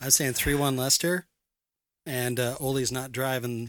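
A man with a normal speaking voice talks at medium pitch and a moderate pace, with fairly even intonation, on a very clean recording with a silent background. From Canada. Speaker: soccer supporters club organizer. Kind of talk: casual chat.

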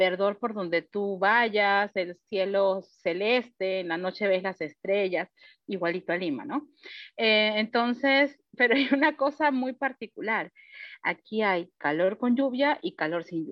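With a medium pitch and lively intonation, a woman speaks at a fairly slow pace in an unremarkable speaking voice. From Peru and Panama. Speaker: teacher. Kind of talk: panel discussion. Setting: video call.

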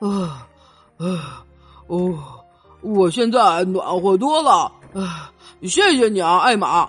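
Putting on a character voice, a woman speaks slowly in a fairly low pitch with a slightly husky edge and big pitch swings, while faint music plays in the background.

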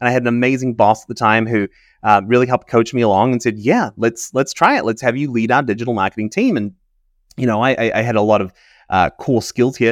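On a dry, close recording with no echo and a quiet background, a man with a New Zealand accent speaks at a very fast pace with fairly even intonation. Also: medium pitch for a man. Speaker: chief data officer. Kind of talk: interview.

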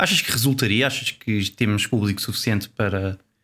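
Someone with a European Portuguese accent speaks at a moderate pace on a very clean recording with a silent background. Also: man. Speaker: podcast co-host. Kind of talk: casual chat.

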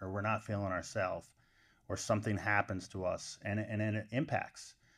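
This man talks with an American accent in a fairly low pitch, his intonation monotone and flat. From upstate New York. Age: 40s. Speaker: college wrestling coach. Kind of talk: podcast interview.

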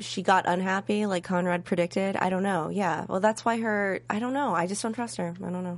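Over a quiet background, a woman talks fairly quickly with hardly any pauses, at a medium pitch with ordinary pitch variation, in an ordinary speaking voice. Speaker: TV recap show co-host. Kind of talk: casual recap chat.

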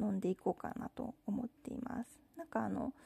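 Her voice fairly high with vocal fry, a woman speaks in a relaxed tone at a moderate pace with fairly even intonation, the sound dry and close with no echo. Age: 30s. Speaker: podcast host. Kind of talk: casual monologue. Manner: relaxed, with many fillers.

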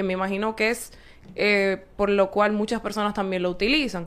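A woman speaks in a monotone with flat intonation. Her pitch is medium and her pace moderate. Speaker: volleyball player. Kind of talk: casual chat.

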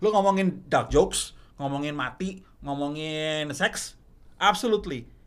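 A plain, everyday voice speaks at a fairly slow pace. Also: man, fairly high pitch for a man, lively intonation. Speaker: stand-up comedian. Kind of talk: casual chat.

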